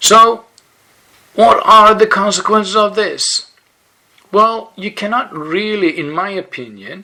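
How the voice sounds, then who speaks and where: A man's high-pitched, raised and projected voice at a very slow pace, with ordinary pitch variation. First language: Swedish. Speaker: yoga blogger. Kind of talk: explainer monologue. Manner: halting, with fillers.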